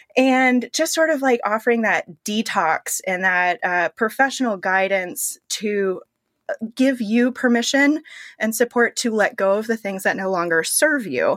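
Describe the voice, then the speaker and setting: In a plain, everyday voice with an American accent, a woman speaks at a fairly slow pace and a fairly high pitch with lively intonation, in a very clean recording with a silent background and a dry, close sound with no echo. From Pittsburgh, US. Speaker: personal stylist. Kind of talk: interview conversation.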